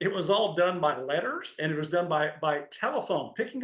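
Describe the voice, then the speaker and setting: A high-pitched man with a Texan accent. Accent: Texas accent, still held. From Texas, Crowley near Fort Worth. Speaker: former NFL linebacker. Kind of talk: interview.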